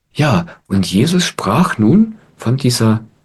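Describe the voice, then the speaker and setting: A man speaks in a calm tone with very wide pitch swings. His voice is somewhat breathy. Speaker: spiritual teacher. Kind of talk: satsang talk to audience. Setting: online video call. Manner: calm, reflective.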